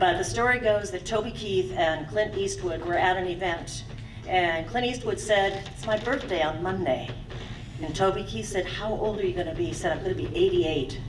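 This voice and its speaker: A woman's medium-pitched voice at a moderate pace with lively intonation, amid audible room echo and music in the background. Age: 60s. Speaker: stage show emcee. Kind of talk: live show introduction and storytelling.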